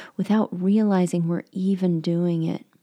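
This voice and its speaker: Speaking at a fairly slow pace, a woman has a medium pitch and a dark, mellow tone. Her intonation stays fairly even. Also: dry, close sound with no echo. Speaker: life coach podcast host. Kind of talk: motivational monologue.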